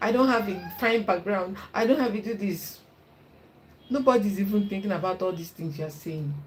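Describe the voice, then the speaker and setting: With a strong Nigerian accent, a woman talks at a moderate pace in an animated tone with ordinary pitch variation, over noticeable background noise and audible room echo. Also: medium pitch for a woman. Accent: thick Igbo Nigerian. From Nigeria (Igbo). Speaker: YouTuber and content creation coach. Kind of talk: casual advice talk to camera. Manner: animated, encouraging.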